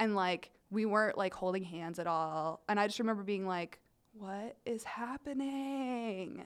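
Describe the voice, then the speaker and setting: An unremarkable speaking voice with an American accent, at a fairly slow pace with ordinary pitch variation. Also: woman, medium pitch for a woman. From rural Ohio. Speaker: comedy writer. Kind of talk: casual chat. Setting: studio.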